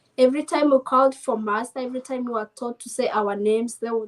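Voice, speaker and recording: At a fairly quick pace, a woman speaks with a high pitch. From Kenya. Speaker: navy service member. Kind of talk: casual interview chat mixing English and Swahili. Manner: quiet, not loud.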